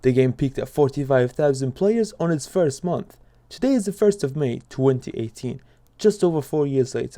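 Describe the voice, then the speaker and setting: A man with a non-native accent talks at a moderate pace. His fairly high voice has a dark, mellow tone. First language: not English. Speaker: gaming YouTuber. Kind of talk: video commentary.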